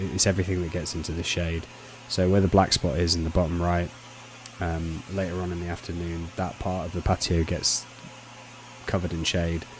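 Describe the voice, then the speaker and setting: With a Lincolnshire accent, a man talks in a very deep, low voice with a relaxed tone and monotone, flat intonation over noticeable background noise. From Lincolnshire, England. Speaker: pressure washing contractor. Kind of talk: voice-over commentary on work footage. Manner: casual, relaxed.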